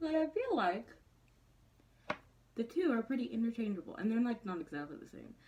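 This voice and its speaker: This woman's pitch swings very widely while noticeable background noise plays behind her. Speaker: beauty vlogger. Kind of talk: makeup tutorial. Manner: casual, chatty.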